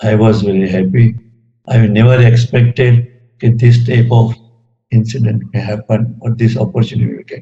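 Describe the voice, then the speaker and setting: Somewhat breathy and dark, mellow in tone, a man's medium-pitched voice moves at a moderate pace with fairly even intonation. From Gujarat, India. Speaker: retired engineer, spiritual devotee. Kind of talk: talk sharing personal spiritual experiences.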